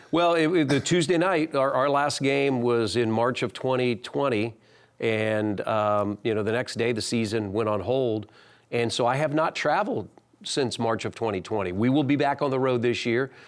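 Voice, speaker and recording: This is an unremarkable speaking voice from a man, medium in pitch with ordinary pitch variation. He keeps a moderate pace and very even loudness. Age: 60s. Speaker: basketball team broadcaster. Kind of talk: interview.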